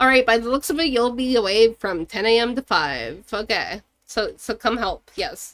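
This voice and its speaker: Speaking at a moderate pace, a woman with a fairly high pitch uses lively intonation, heard in a dry, close sound with no echo on a very clean recording with a silent background. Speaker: gaming streamer. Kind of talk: live gameplay commentary. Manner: stumbles over words.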